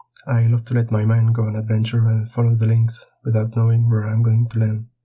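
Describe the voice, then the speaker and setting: The man's voice sits at a medium pitch and sounds somewhat breathy. He speaks at a moderate pace with a monotone, flat intonation. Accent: French. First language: French. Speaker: board game illustrator. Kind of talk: prepared monologue.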